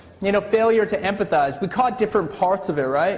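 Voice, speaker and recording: An enthusiastic-toned man with ordinary pitch variation over noticeable background noise. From Canada. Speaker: corporate trainer and keynote speaker. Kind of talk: live workshop presentation to an audience. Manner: engaging, enthusiastic.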